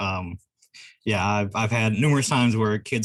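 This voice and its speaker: On a very clean recording with a silent background, a man with a slight Southern US accent and a fairly low pitch speaks at a fairly quick pace with fairly even intonation. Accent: slight Southern twang. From California. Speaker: game store owner. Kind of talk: casual chat. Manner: fast, laid back.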